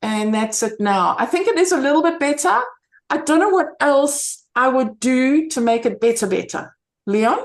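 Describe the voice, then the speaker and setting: Against a quiet background, a woman with a high pitch talks at a moderate pace with lively intonation and very even loudness. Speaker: camera club member presenting photo editing. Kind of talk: online club workshop, casual presentation. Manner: hesitant, many fillers. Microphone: video call.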